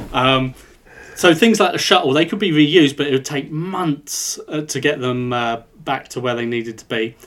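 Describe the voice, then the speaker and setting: With an English accent, a man talks at a moderate pace using lively intonation. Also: fairly high pitch for a man. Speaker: podcast co-host. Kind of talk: casual chat.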